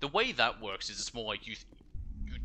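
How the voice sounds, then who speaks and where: Fairly quick speech from a man, with music playing behind. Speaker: gaming streamer. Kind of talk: casual gameplay commentary. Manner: fast; stumbles over words.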